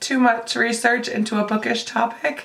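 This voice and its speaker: The intonation stays monotone and flat at a moderate pace. Noticeable background noise runs underneath. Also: woman. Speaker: book vlogger. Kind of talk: casual talk to camera.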